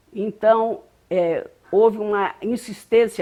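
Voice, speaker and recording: The woman's voice has a dark, mellow tone. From Brazil, Rio de Janeiro. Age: 70s. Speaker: interviewee recounting life story. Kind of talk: oral history interview. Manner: hesitant, frequent fillers.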